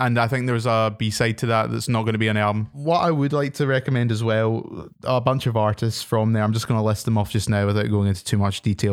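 On a very clean recording with a silent background, a man with a Glaswegian accent speaks at a fairly quick pace with fairly even intonation. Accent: Glaswegian Scottish. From Scotland, Glasgow. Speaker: podcast host. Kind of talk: casual chat.

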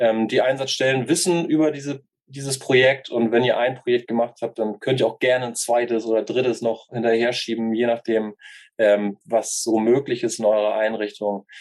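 This man has a normal speaking voice, keeping a medium pitch, fairly even intonation and a moderate pace. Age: 30s. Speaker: youth work educator. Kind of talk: interview. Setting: video call.

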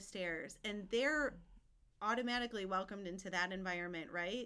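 A woman's bright, sharp tone at medium pitch with fairly even intonation. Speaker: parish staff member, mother.

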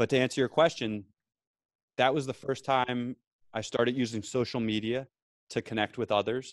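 A man speaks with a New Jersey accent at a moderate pace and a medium pitch. His intonation stays fairly even, with long, frequent pauses, and the sound is dry and close with no echo. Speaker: veteran and podcaster. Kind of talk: casual chat. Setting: remote call from office.

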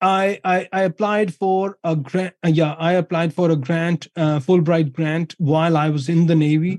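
The speaker has a Pakistani accent and talks at a moderate pace with fairly even intonation and very even loudness. The sound is dry and close, with no echo. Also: man, high pitch for a man. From Pakistan, Punjab. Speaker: academic researcher, former naval officer. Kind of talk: interview. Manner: many fillers and repetitions.

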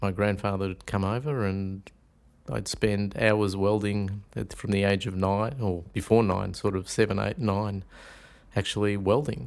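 In a very clean recording with a silent background, a man with an Australian accent speaks at a fairly slow pace in a fairly low pitch with fairly even intonation. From Melbourne and rural Victoria, Australia. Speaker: shiatsu teacher. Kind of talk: casual interview.

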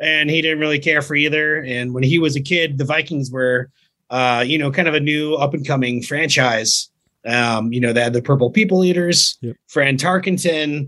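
A man with an American accent, fairly high pitch and a bright, sharp tone, at a moderate pace with ordinary pitch variation. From Virginia and North Carolina, US South. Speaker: touring rock musician. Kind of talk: casual chat.

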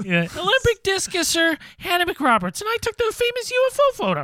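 Putting on a character voice, a man talks at a moderate pace in an extremely high, squeaky pitch. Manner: silly, joking.

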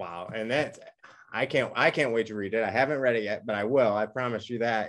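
This is an ordinary speaking voice from a man at medium pitch. He talks at a moderate pace with ordinary pitch variation. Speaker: podcast host. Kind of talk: interview. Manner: excitable.

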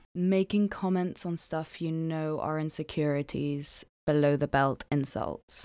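A dark, mellow voice with a slight non-native accent moves at a fairly slow pace, with fairly even intonation and hardly any pauses. The recording is very clean, with a silent background. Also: woman, very deep, low pitch for a woman. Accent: slight foreign accent in English. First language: not English. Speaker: podcast co-host. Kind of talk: casual chat.

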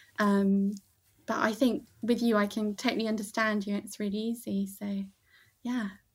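In a very clean recording with a silent background, a woman talks at a moderate pace in a fairly high, somewhat breathy voice with monotone, flat intonation. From Bath, England. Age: 30s. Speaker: podcast guest. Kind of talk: casual movie chat.

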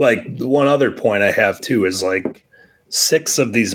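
A man's voice at a fairly slow pace with ordinary pitch variation, a normal speaking voice. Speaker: wrestling fan and patron guest. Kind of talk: casual chat. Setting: remote call.

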